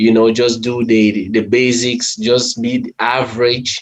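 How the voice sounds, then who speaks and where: A man with a non-native accent at a medium pitch. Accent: foreign. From Cameroon. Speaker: medical technologist, panelist. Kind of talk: panel discussion.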